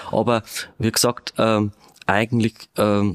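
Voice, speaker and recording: The background is quiet. A man speaks at a fairly low pitch with monotone, flat intonation. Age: 50s. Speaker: police detective. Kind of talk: interview. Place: studio.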